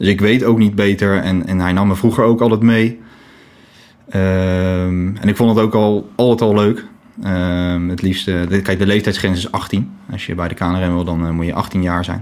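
Fairly low-pitched and fairly even in intonation, a man delivers his words at a moderate pace in a normal speaking voice. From The Hague (Scheveningen), Netherlands. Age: 20s. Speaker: volunteer lifeboat crew member.

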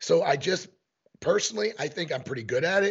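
Somewhat breathy, a man talks with very wide pitch swings. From Missouri. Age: 50s. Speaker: elk hunting guide and e-scouting instructor. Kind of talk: casual interview. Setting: remote call with headphones.

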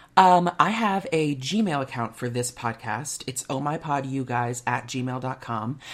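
An American accent carries this woman's very deep, low voice, animated in tone with lively intonation. She goes at a fairly slow pace with hardly any pauses. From US Midwest (Kansas, Minnesota). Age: 20s. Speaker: podcast host and musical theater performer. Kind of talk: casual chat.

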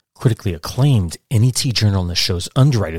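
Talking at a very fast pace with an American accent, a man with a fairly low, somewhat breathy voice uses lively intonation on a very clean recording with a silent background. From Brooklyn, New York, then Catskills upstate New York. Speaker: podcast host. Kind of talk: scripted narration.

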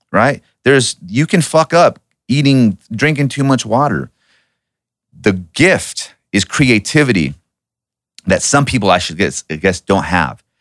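Here a man speaks at a medium pitch with vocal fry and very wide pitch swings, keeping his loudness very even. His pace is fairly slow, with long, frequent pauses, and the sound is dry and close with no echo. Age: 40s. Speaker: strength and conditioning coach. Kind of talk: casual interview.

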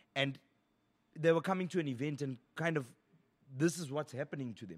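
A man's animated voice with lively intonation at a very fast pace, on a very clean recording with a silent background. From South Africa. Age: 30s. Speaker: radio DJ. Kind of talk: casual chat.

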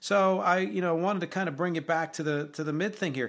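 Against a quiet background, a man talks in a fairly high pitch. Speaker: podcast host and musician. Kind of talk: solo podcast monologue. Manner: casual, conversational.

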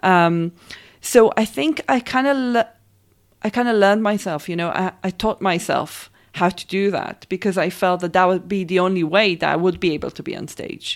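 A woman with an Israeli accent speaks at a moderate pace and medium pitch with ordinary variation. The recording is very clean, with a silent background. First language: Hebrew. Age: 30s. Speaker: performance artist. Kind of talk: interview.

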